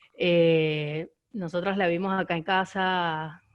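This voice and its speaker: Her voice fairly low-pitched, a woman speaks with fairly even intonation. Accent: Venezuelan. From Venezuela. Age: 20s. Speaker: audience member asking questions. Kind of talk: Q&A question at online screening discussion. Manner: halting, many repetitions.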